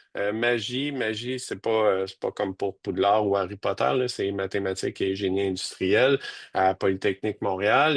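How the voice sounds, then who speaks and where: Recorded with a dry, close sound with no echo and a quiet background, a man talks at a moderate pace in a fairly low voice. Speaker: university professor. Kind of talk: webinar presentation. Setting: video webinar. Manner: monotone; hesitant, many fillers.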